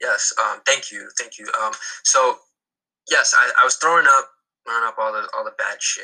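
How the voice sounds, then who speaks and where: Speaking at a moderate pace with an American accent, the voice shows big swings in loudness and long, frequent pauses. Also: man. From North New Jersey. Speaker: artist and filmmaker. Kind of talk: casual chat interview. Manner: halting, repeats words.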